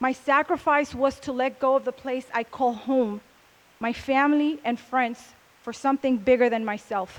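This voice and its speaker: With a Spanish accent, a woman talks at a moderate pace. Her voice is high and her intonation fairly even. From Puerto Rico, west side. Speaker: speaker at a convention. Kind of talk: motivational talk.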